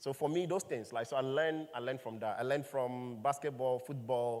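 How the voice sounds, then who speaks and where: A man with a Ghanaian accent speaks at a medium pitch, his intonation fairly even. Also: moderate pace. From Ghana, Volta region. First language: Ewe. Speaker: startup founder and CEO. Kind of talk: panel conversation.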